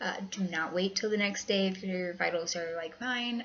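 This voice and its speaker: With an American accent, a woman speaks at a medium pitch over noticeable background noise. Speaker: vlogger with lupus. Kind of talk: casual vlog. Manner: hesitant, many fillers.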